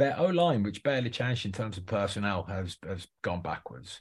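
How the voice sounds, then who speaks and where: On a very clean recording with a silent background, a man with a fairly low pitch and a somewhat breathy voice speaks at a moderate pace with very wide pitch swings. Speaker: podcast co-host NFL fan. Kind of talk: casual sports chat.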